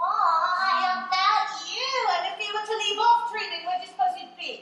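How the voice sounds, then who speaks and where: A woman performs a put-on character voice at an extremely high pitch, sing-song and at a moderate pace, with big swings in loudness and a clear echo. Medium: audio drama. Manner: contrary, sing-song logic games.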